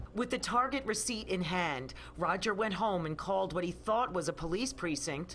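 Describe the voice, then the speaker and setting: Lively intonation comes at a moderate pace with hardly any pauses, over noticeable background noise. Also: woman, fairly low pitch for a woman. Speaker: TV news reporter. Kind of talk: TV news report narration.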